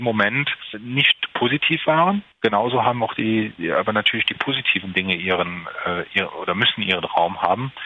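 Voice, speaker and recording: With lively intonation and a medium pitch, a man speaks at a moderate pace over noticeable background noise. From Saarland, Germany (Merzig). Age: 40s. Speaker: entrepreneur. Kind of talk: interview. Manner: halting, many fillers.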